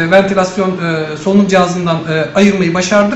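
Room echo and light background noise are audible. A man speaks at a high pitch with monotone, flat intonation. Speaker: neonatal intensive care doctor. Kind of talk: press statement. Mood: calm, measured, factual. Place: office.

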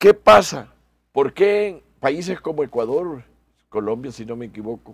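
A man speaks at a fairly slow pace, his voice dry with no echo over a quiet background. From El Salvador. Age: 60s. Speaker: electoral magistrate and lawyer; interview guest. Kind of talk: radio interview. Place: studio.

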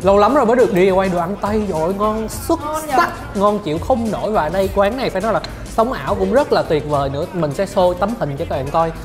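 The speech moves at a fairly quick pace with hardly any pauses, and music is clearly audible in the background. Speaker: food vlogger. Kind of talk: food review commentary. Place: cafe.

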